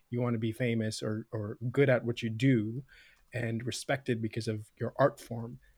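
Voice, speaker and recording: A man with a Canadian accent speaks at a moderate pace, somewhat breathy and monotone with flat intonation. The recording is very clean and the background silent. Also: medium pitch for a man, dry, close sound with no echo. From Canada, Scarborough, Toronto. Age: 30s. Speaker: comedian. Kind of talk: casual chat. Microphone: good podcast microphone.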